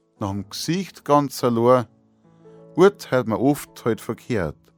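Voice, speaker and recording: Music plays behind a man speaking at a very slow pace. His intonation is lively. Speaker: dialect poet. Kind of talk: poetry reading.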